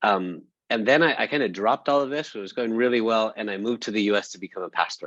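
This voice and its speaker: A man in an American accent talks at a very fast pace. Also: medium pitch for a man, ordinary pitch variation. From Spain (Barcelona), raised by US missionary parents. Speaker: social enterprise practitioner, panelist. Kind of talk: panel discussion. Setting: webinar, video call. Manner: halting, many false starts.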